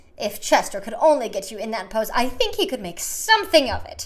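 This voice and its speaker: This is a put-on character voice with a shrill sound. The delivery moves at a fairly quick pace. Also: woman, fairly high pitch for a woman. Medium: read story. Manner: gushing, fawning.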